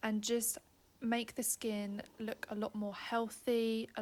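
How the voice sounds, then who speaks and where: Somewhat breathy and fairly high-pitched, a woman speaks very slowly in a flat monotone. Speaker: skincare professional giving a facial. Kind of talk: informative explanation to a client during a facial, ASMR video.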